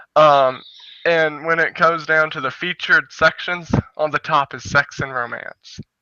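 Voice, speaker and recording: An American-accented man with an unremarkable speaking voice talks fairly high and at a fairly slow pace, with fairly even intonation. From United States. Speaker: gaming show co-host. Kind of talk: casual chat.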